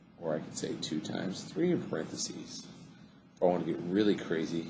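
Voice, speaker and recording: A man speaks in a dark, mellow tone, with audible echo from the room. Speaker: math teacher. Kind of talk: tutorial. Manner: fast; animated.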